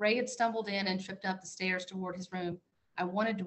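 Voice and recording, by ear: Someone reads aloud in a natural voice. The intonation is fairly even.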